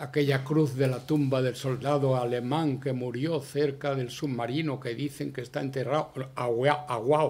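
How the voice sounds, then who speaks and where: A man with a strong Andalusian accent speaks at a moderate pace with hardly any pauses. His medium-pitched, somewhat breathy voice has a monotone, flat intonation. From Andalusia, Spain. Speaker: veteran journalist, award winner. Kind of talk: award acceptance speech. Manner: halting.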